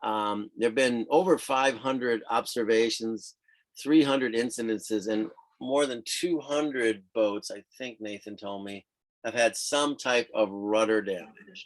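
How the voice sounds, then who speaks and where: With big swings in loudness, a man speaks in a plain, everyday voice at medium pitch, with ordinary pitch variation. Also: fairly slow pace. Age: 60s. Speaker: professional sailor and writer. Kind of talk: casual chat. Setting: video call.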